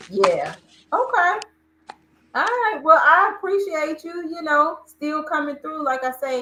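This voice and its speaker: A woman talks fairly slowly in an extremely high, bright and sharp voice, raised and projected, with lively intonation. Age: 50s. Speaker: livestream host. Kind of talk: casual chat. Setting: livestream.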